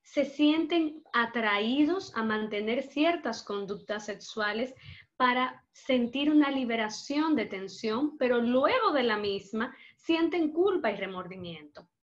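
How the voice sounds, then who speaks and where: This woman's voice is high-pitched with lively intonation. She speaks at a very slow pace. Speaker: psychologist. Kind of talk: lecture.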